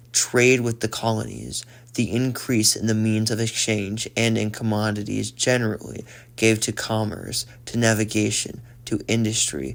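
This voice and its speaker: In a calm tone, a man speaks at a moderate pace with a medium pitch and monotone, flat intonation. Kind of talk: ASMR audiobook reading of a political text. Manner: soft, calm, ASMR-style delivery.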